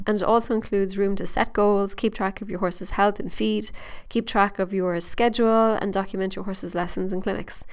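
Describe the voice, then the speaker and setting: A woman with an Irish accent speaks in a very clean recording over a silent background. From Ireland. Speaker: podcast host and horse trainer. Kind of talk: monologue update, promotional. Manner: animated, excited.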